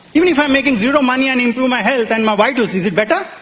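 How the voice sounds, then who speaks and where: Talking at a very fast pace, a man uses an extremely high pitch amid noticeable background noise. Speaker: network marketing business leader. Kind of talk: motivational business presentation.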